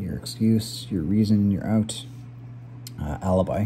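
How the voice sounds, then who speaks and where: Fairly low-pitched male speech at a fairly slow pace over light background noise. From Canada. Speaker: gaming YouTuber playing word puzzles. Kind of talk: live puzzle commentary. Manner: casual, filler-heavy thinking aloud. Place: kitchen. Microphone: phone near.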